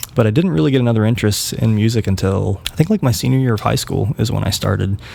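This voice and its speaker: With an American accent and a fairly low pitch, a man talks at a very fast pace against noticeable background noise. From West Virginia. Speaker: band musician. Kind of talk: casual chat. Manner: halting.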